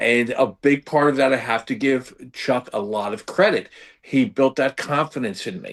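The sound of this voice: A man with an American accent speaks at a moderate pace, his medium-pitched voice carrying lively intonation.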